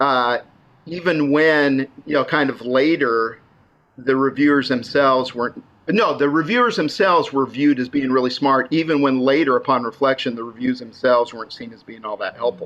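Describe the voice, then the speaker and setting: Using a normal speaking voice, a man with a fairly high pitch and an American accent talks at a fairly quick pace, with ordinary pitch variation and big swings in loudness. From Idaho, US. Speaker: innovation consultant and author. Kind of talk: casual interview.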